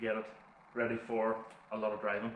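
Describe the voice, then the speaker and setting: With a Northern Irish accent, a man talks at a fairly quick pace over noticeable background noise and audible room echo. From Northern Ireland. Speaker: car YouTuber. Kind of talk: vlog narration. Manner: casual.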